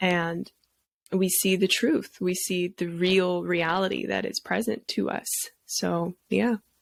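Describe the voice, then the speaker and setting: In a very clean recording with a silent background and a dry, close sound with no echo, a woman with a Canadian accent speaks at a very slow pace. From Vancouver, Canada. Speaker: healer and singer. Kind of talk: casual chat.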